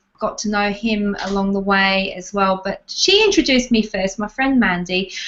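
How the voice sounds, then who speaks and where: A woman speaks at a medium pitch with an Australian accent and ordinary pitch variation. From Australia, Adelaide. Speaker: tapping therapy practitioner. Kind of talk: interview. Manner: halting.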